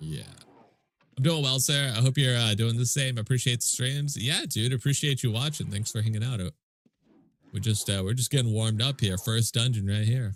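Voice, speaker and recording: Recorded very cleanly against a silent background, a man speaks in a somewhat breathy voice. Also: medium pitch for a man, ordinary pitch variation, fairly quick pace. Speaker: gaming streamer. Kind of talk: live gameplay stream chat. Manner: casual, animated.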